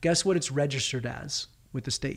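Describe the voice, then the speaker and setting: A man with an American accent talks at a very fast pace in a fairly high, somewhat breathy voice with ordinary pitch variation. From California. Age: 30s. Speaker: filmmaker. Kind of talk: interview.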